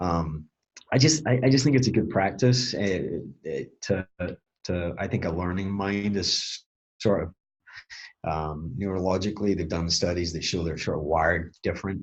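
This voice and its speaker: Very deep and low, a man's voice moves at a moderate pace with lively intonation. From Scotland. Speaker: HVAC training executive. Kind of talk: podcast interview answer.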